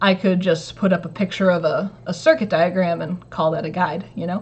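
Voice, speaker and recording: The woman's voice is somewhat breathy and sits at a medium pitch. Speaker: maker / DIY electronics youtuber. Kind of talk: casual livestream chat. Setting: home livestream. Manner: casual, filler-heavy.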